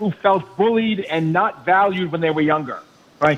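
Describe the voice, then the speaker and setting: With noticeable background noise behind him, a man talks in a high pitch with ordinary pitch variation. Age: 70s. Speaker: caller, retired teacher and author. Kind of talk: phone-in call. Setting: phone call. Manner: animated.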